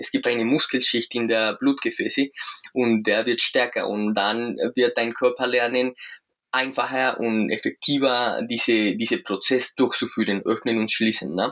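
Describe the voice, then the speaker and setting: Fairly slow, fairly even speech from a man of medium pitch with a Spanish accent and a bright, sharp tone. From Colombia. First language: Spanish (speaking German). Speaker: breathing coach and movement trainer. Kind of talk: interview; guided breathing exercise. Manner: halting, searching for words.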